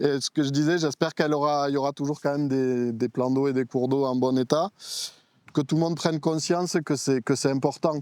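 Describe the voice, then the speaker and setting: In an ordinary speaking voice, a man talks at a fairly quick pace with fairly high pitch and ordinary pitch variation, the sound dry and close with no echo. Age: 30s. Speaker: interviewee, fishing federation worker. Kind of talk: interview.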